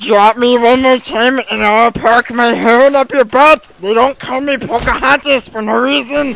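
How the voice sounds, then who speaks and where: Putting on a character voice, a man speaks at extremely high pitch and a moderate pace. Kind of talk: comic overacting. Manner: indignant, shouting, bossy.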